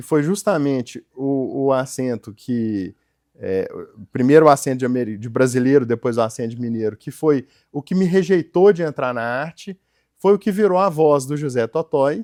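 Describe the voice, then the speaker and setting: A man speaks at a fairly high pitch with a dark, mellow tone. The sound is dry and close, with no echo. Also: moderate pace, big swings in loudness, very clean recording, silent background. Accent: Minas Gerais. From Minas Gerais, Brazil. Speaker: entrepreneur and company founder. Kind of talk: interview. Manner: hesitant, many fillers.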